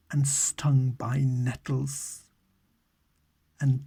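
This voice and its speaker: Soft-spoken and somewhat breathy, a man with a British accent speaks in a medium pitch with a dark, mellow, calm tone. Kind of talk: ASMR audiobook reading. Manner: calm, soft, meditative.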